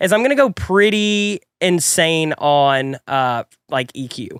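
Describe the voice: Lively intonation comes through a clear, smooth, fairly bright tone. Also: man.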